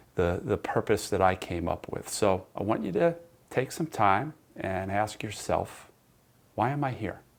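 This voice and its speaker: A man speaks in a normal speaking voice, his pitch fairly low. The pace is fairly slow, with lively intonation. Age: 60s. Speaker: sports psychology coach and teacher. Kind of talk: recorded online class lecture. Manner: conversational, with repetitions and restarts.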